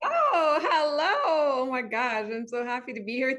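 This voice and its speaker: A raised, projected voice with a non-native accent, at a fairly slow pace with ordinary pitch variation, over noticeable background noise. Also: woman. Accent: noticeable foreign. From Montreal, Quebec. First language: French. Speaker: wellness coach. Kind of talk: interview.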